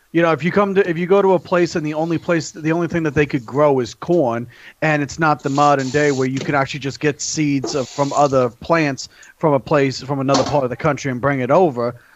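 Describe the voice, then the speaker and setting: This man has an unremarkable speaking voice, fairly high in pitch. He talks at a fairly quick pace with ordinary pitch variation. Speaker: guest from another podcast. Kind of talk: crude banter. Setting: group call.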